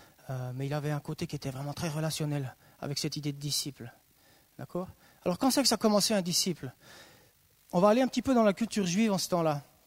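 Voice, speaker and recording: Very fast delivery broken by long, frequent pauses, very clean and silent in the background, with a dry, close sound and no echo. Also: man, fairly high pitch for a man, lively intonation. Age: 30s. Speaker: youth missionary speaker. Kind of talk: sermon. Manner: animated.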